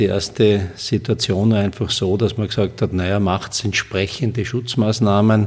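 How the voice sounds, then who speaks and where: The voice moves at a moderate pace with hardly any pauses and a monotone, flat intonation. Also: man, fairly low pitch for a man. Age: 40s. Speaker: construction company CEO. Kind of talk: interview. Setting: office. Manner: halting.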